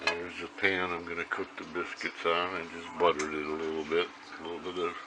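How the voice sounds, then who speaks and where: A man with an American accent speaks very fast in a flat monotone, his pitch very deep and low, over noticeable background noise. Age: 70s. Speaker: home cook, grandfather. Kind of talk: casual talk to camera, cooking demonstration. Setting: home kitchen.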